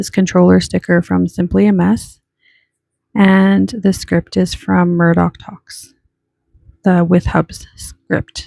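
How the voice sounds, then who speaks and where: Relaxed in tone, a woman speaks at a very slow pace with a dry, close sound and no echo. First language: not English. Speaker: planner hobby vlogger. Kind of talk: casual plan-with-me narration. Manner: relaxed, chatty.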